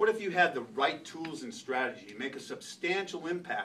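A man speaks at a fairly quick pace and with ordinary pitch variation, light background noise present. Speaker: presenter. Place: meeting room. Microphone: camera far.

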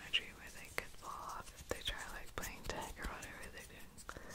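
A man whispering at a moderate pace, his tone relaxed. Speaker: ASMR creator. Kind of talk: casual rambling talk to the listener. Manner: soft-spoken, relaxed. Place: home room. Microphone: studio mic.

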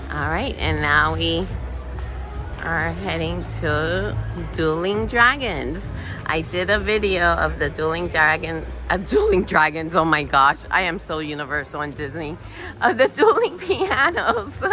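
Over clear music in the background, a woman talks at a fairly slow pace with a dry sound and no echo. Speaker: cruise vlogger. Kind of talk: casual vlog chat. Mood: enthusiastic, laughing. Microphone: phone near.

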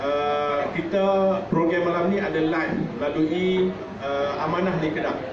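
Amid loud background noise and audible room echo, a man talks at a fairly slow pace. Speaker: state party chairman. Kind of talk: political speech. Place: cafe. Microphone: camera far.

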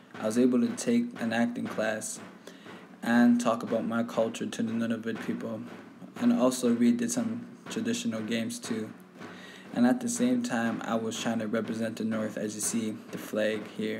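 A man talks at a moderate pace, with audible room echo around his voice. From Sahtú region, Northwest Territories, Canada (Dene community). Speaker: youth workshop participant. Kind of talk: personal digital story narration.

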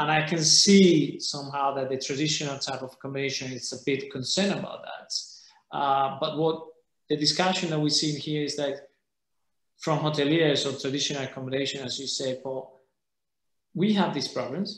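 Amid audible room echo, a man with a Spanish accent and a fairly high, somewhat breathy voice talks at a moderate pace with ordinary pitch variation. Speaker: holiday rental association president; panelist. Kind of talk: panel discussion. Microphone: webcam.

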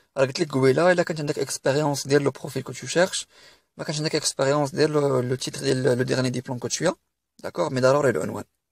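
In a very clean recording with a silent background and a dry, close sound with no echo, a man speaks very fast at a fairly high pitch with fairly even intonation. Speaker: career advice YouTuber. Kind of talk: tutorial.

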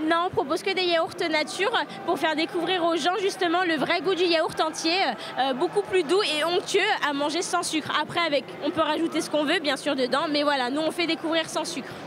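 A woman with an extremely high voice speaks with fairly even intonation, the sound dry with no echo but carrying noticeable background noise. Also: moderate pace. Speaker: farm product vendor. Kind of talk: interview answer. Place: hall. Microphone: handheld.

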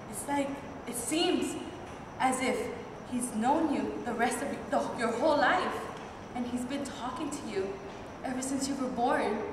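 With audible room echo and noticeable background noise, a woman with a high pitch and ordinary pitch variation speaks at a fairly slow pace, leaving long, frequent pauses. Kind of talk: monologue performance. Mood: dreamy, admiring. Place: stage. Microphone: camera far.

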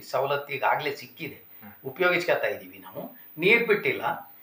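A man speaks with a high-pitched voice. The room echo is audible and background noise is noticeable. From Karnataka, Chikkamagaluru district. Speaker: former village council member. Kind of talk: interview.

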